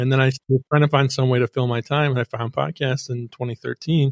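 A man's normal speaking voice at medium pitch and moderate pace, dry and close with no echo, in a very clean recording with a silent background. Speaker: podcast studio founder. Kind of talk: casual interview chat.

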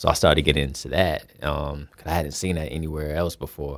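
With an American accent, a man talks at a very fast pace in a very deep, low voice with vocal fry. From US South, Fayetteville, North Carolina. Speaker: rapper. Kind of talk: casual interview chat. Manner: halting, many fillers and repetitions.

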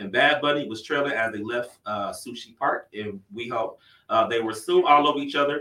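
An ordinary speaking voice comes from a man with an American accent, speaking at medium pitch and a moderate pace with ordinary pitch variation and big swings in loudness. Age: 30s. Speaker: podcast host. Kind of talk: news reading; casual chat.

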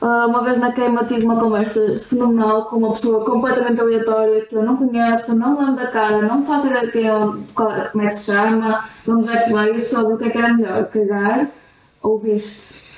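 Over noticeable background noise, a woman with a European Portuguese accent speaks fairly quickly, her fairly high pitch delivered in a monotone, flat intonation. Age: 20s. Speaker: co-host, host's sister. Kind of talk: casual chat. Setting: recording at home via computer.

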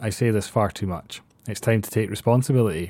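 With a Scottish accent, the speaker talks at a fairly quick pace in a dark, mellow tone, with ordinary pitch variation. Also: man. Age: 30s. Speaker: podcast host. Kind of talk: personal monologue.

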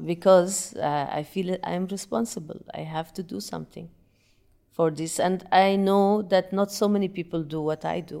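Her tone dark and mellow, a woman speaks at medium pitch with fairly even intonation in an Arabic accent. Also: moderate pace. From Yemen. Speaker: breathing and meditation teacher. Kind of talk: interview.

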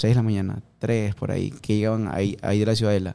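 A man speaks in a dark, mellow tone. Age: 30s. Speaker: CrossFit gym owner and coach. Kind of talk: casual interview.

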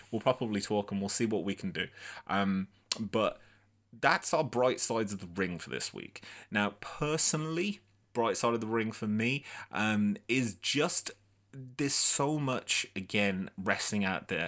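A man with a Brummie accent at a fairly slow pace, lively in intonation, in a very clean recording with a silent background. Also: medium pitch for a man. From Birmingham, England. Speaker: wrestling podcast host. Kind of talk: casual solo commentary livestream. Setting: live video stream.

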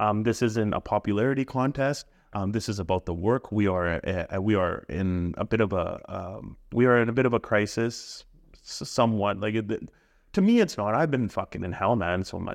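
Against a quiet background, a plain, everyday voice moves at a moderate pace with ordinary pitch variation. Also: man. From Punjab, India and British Columbia, Canada. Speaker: life coach and podcast host. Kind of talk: casual coaching conversation.

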